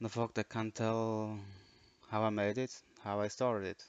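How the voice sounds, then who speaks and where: This man's intonation is monotone and flat, his pitch fairly low. He talks at a moderate pace. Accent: non-native. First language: not English. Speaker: game modder. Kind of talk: tutorial. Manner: dry; halting.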